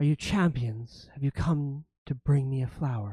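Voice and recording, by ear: A man puts on a raspy character voice at a medium pitch. He goes at a moderate pace on a very clean recording with a silent background.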